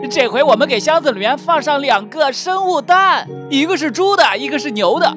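With music in the background, a man with an extremely high pitch talks at a moderate pace and lively intonation. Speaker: voice-over narrator and dub artist. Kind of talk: game video commentary. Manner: lively, playful.

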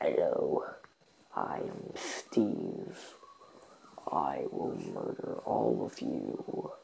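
A man growls through a put-on character voice at a very slow pace, leaving long, frequent pauses over light background noise. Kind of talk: casual vlog chat, comic character voice. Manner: menacing. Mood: joking mock threat.

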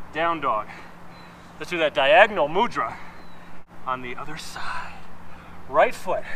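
Over light background noise, a man with a fairly high pitch talks at a fairly slow pace, leaving long, frequent pauses. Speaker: fitness instructor. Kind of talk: guided workout class, cueing yoga flows and reps in real time. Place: garden.

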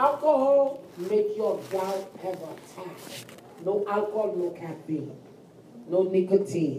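Over noticeable background noise, a woman at medium pitch talks very slowly with lively intonation and big swings in loudness. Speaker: nursing instructor. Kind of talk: lecture. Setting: classroom recording. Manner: animated.

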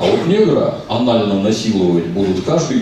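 Amid strong room echo and noticeable background noise, a man speaks with lively intonation at a moderate pace. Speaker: film translator and commentator, member of a public council at the ministry of culture. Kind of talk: casual talk answering an audience question. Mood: sardonic, ironic. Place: hall.

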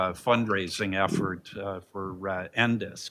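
Over light background noise, a man speaks very slowly in a fairly low pitch, his tone bright and sharp and his intonation fairly even. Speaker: seminar host introducing the event. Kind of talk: event introduction remarks. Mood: light, joking. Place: meeting room. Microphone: podium.

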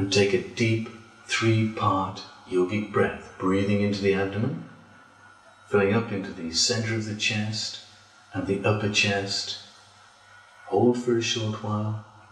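In a room with audible echo, a man speaks in a calm tone, monotone and flat, with long, frequent pauses. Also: fairly slow pace. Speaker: yoga teacher. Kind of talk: guided relaxation. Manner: slow, calm. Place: home room.

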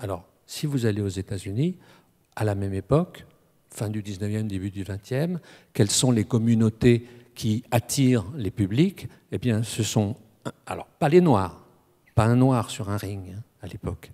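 Against a quiet background, a man talks at a fairly slow pace with long, frequent pauses, his fairly low voice dark and mellow in tone. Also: ordinary pitch variation. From France, Strasbourg (Alsace); France. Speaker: academic speaker on boxing; speaker. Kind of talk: panel discussion. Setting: stage with audience. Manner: halting. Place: hall. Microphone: handheld.

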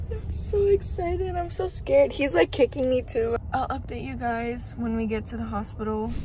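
A woman at a moderate pace, hardly pausing, with light background noise and a dry, echo-free sound. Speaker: expectant mother vlogger. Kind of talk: casual vlog chat.

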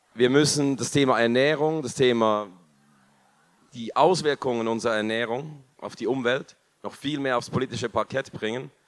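Over a quiet background, a man speaks at a moderate pace with fairly even intonation and long, frequent pauses. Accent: Swiss German. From Switzerland. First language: Swiss German (speaking German). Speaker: food company co-founder; company founder on panel. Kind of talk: panel discussion. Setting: stage with audience. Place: hall. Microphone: handheld.

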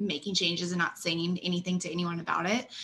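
The speaker is a woman. Light background noise can be heard. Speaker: webinar host. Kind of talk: webinar hosting. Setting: video call. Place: office. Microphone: webcam.

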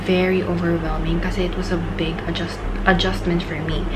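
A woman's voice with music in the background. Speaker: vlogger. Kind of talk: casual vlog chat, Q&A. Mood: calm, reflective.

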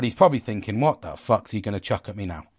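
On a very clean recording with a silent background and a dry, close sound with no echo, a man's somewhat breathy voice shows ordinary pitch variation. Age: 40s. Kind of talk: casual monologue. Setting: at home.

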